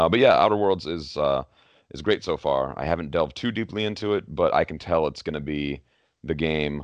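Here a man speaks with a very deep, low pitch and vocal fry at a moderate pace. His pitch varies in an ordinary way against a quiet background. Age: 30s. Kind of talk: casual chat.

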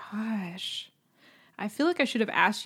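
A woman with an American accent speaks at a moderate pace in a somewhat breathy voice. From Lockhart, Texas. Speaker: podcast guest. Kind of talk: casual chat.

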